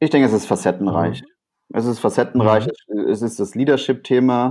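A man's voice has a dark, mellow tone, medium pitch and fairly even intonation. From Rhineland, Germany. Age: 30s. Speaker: innovation consultant and entrepreneur. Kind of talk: interview. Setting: remote recording. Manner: halting, many fillers.

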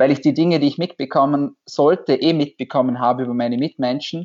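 A man with an ordinary speaking voice sounds fairly high in pitch, his intonation fairly even. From Austria, Vorarlberg. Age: 20s. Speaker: doctor. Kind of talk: interview.

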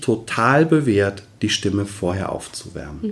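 A man speaks at a very slow pace with vocal fry and very wide pitch swings. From Westerwald, Germany. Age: 40s. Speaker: voice coach and former opera singer. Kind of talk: interview. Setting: office.

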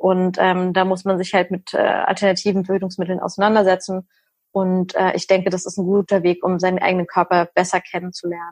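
Delivered fairly quickly, the speech stays monotone and flat in its intonation. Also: woman, medium pitch for a woman. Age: 30s. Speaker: nutrition and hormone coach, recovered anorexia patient. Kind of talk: casual interview.

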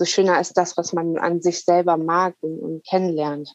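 Dry and close with no echo, a woman talks at a fairly slow pace with a fairly low pitch. Her intonation is monotone and flat. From northern Germany, Wilhelmshaven. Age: 30s. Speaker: coach. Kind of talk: interview.

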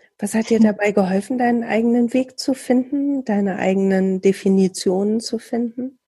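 A woman's somewhat breathy voice, dark and mellow in tone, fairly high in pitch, with fairly even intonation, moderate pace and hardly any pauses, over a quiet background. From Bielefeld, Germany. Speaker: podcast host, radio worker. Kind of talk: casual interview.

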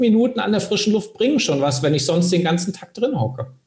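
A man speaks with very wide pitch swings. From Hesse, Germany (Bad Homburg, Frankfurt area). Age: 40s. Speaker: career and sales coach. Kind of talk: podcast interview.

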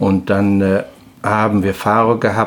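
The man's voice sits fairly low. His intonation is monotone and flat. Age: 50s. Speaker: trucking company owner, former truck driver. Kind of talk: casual interview. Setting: his office. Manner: halting.

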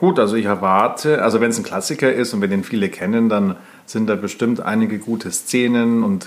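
At a moderate pace, a man speaks in a plain, everyday voice with a medium pitch and ordinary pitch variation. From Germany. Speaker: podcast co-host. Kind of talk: casual chat.

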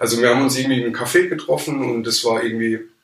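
Audible room echo carries the voice of a man speaking with ordinary pitch variation. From Palatinate, Germany. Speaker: photographer. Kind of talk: casual interview. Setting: studio, in person.

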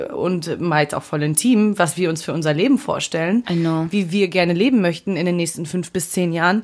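A woman with an ordinary speaking voice at a fairly quick pace, with ordinary pitch variation and hardly any pauses. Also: fairly low pitch for a woman. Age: 20s. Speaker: podcast co-host. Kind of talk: casual chat.

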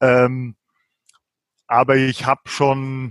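A man's voice sits at a medium pitch. There is no echo, and the sound is dry and close. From rural Germany, village farming milieu. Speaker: novelist and translator. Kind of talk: interview conversation. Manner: hesitant, many fillers.

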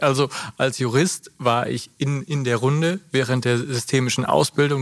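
A man speaks in a normal speaking voice. His intonation stays fairly even. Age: 30s. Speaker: managing director, lawyer by training. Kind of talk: interview conversation. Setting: on location at company.

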